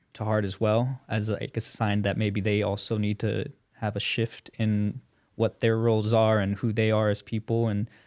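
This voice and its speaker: A monotone, flat voice on a very clean recording with a silent background. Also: man, fairly low pitch for a man, moderate pace, dry, close sound with no echo. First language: bilingual Spanish and English. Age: 20s. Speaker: community podcast guest. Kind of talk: casual chat. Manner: halting, many fillers.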